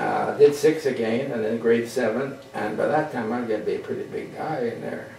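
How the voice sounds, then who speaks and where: Over noticeable background noise and audible room echo, a man speaks at a moderate pace. His pitch is fairly high and his intonation lively. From western Canada (Vancouver area, Alberta). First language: French. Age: 80s+. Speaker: radio pioneer. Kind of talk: storytelling talk to an audience. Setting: museum talk with audience. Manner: halting, with repetitions.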